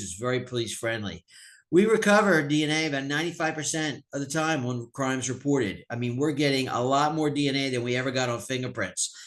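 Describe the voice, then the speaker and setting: Over a quiet background, a man with a medium pitch talks at a fairly quick pace with ordinary pitch variation. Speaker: sheriff / police official. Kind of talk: webinar presentation. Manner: fast.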